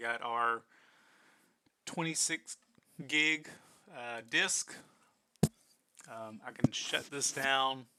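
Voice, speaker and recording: A man speaks very slowly at a medium pitch, his bright, sharp tone rising and falling in loudness by big amounts, with ordinary pitch variation and long, frequent pauses. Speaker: IT instructor. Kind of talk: tutorial. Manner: halting.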